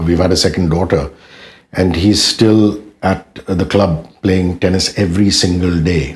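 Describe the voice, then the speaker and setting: A man talks in a very deep, low pitch that is somewhat breathy. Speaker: radio jockey. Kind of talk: interview answer.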